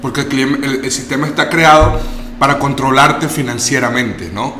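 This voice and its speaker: Audible room echo and noticeable background noise surround the recording. A man speaks at a moderate pace. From Venezuela. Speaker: guest talking about investing abroad. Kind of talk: casual interview. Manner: halting, with many repetitions.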